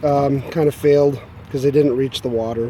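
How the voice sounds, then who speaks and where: A man's fairly high voice over noticeable background noise. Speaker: hobby gardener. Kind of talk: casual video walkthrough. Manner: halting, many fillers.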